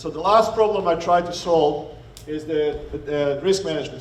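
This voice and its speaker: A man with a Croatian accent, fairly high in pitch with fairly even intonation, plus noticeable background noise and audible room echo. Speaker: economics professor. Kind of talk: workshop presentation. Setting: meeting room with audience.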